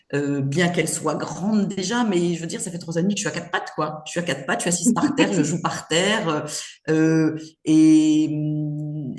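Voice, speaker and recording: This woman has a fairly low pitch and ordinary pitch variation, speaking at a moderate pace. The room echo is audible. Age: 60s. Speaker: grandmother, retired mother of five. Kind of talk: casual interview chat. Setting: podcast interview. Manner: hesitant, many fillers.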